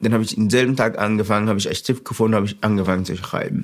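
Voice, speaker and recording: A man with an Arabic accent speaks at a very fast pace. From Sudan. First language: Arabic (speaking German). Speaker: refugee, trainee mechanic and youth football coach. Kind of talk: interview testimony.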